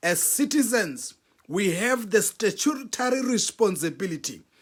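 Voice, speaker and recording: A man speaks at a fairly slow pace with lively intonation. The recording is very clean, with a silent background. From South Africa. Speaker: relationship talk show host. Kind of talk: motivational talk. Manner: emphatic, repeats key points.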